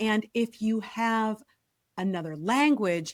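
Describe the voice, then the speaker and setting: Speaking very slowly in a Chicago accent, a woman keeps a fairly high pitch with ordinary variation. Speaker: career strategist, podcast host. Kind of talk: interview podcast.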